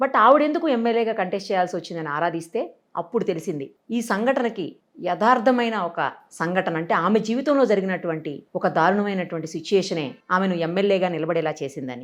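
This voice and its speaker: A woman speaks in an unremarkable speaking voice at medium pitch. Her intonation is lively. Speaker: TV interviewer. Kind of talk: news-style introduction to camera.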